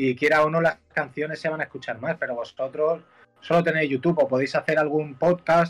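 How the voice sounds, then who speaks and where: A man's normal speaking voice, fairly high in pitch, with fairly even intonation at a fairly quick pace. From Mallorca, Spain. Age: 20s. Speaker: musician. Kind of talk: casual chat. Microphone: headphones removed, speaking without earphones.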